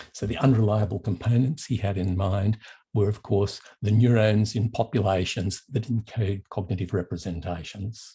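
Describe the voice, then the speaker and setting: With an Australian accent, a man speaks at a moderate pace and fairly low pitch, his tone dark, mellow and somewhat breathy and his intonation fairly even, against a quiet background. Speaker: professor of mathematical psychology. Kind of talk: lecture.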